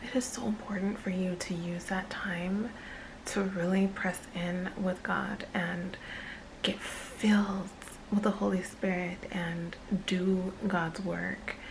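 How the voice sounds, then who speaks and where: A woman whispers at a very slow pace, with audible room echo and noticeable background noise. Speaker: lifestyle vlogger. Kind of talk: casual chat. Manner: whispering.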